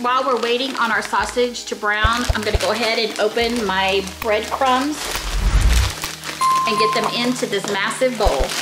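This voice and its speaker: A woman speaks at a moderate pace with music in the background. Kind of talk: tutorial. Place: kitchen.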